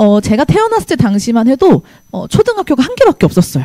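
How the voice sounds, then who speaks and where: Very fast and with very wide pitch swings, a woman speaks in a dry, close sound with no echo. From South Korea, Gyeonggi (Hwaseong). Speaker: math teacher. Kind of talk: presentation to parents and students. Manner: trembling voice.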